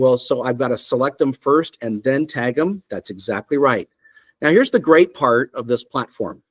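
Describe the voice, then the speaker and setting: A man with a normal speaking voice and a fairly high pitch talks at a moderate pace, dry and close with no echo. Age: 50s. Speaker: software company CEO. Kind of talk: software demo presentation. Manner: casual, conversational with fillers.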